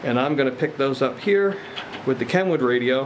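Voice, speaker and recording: Moderate pace, ordinary pitch variation, very even loudness, and light background noise. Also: man. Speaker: radio hobbyist demonstrator. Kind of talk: tutorial. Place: garden. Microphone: camera far.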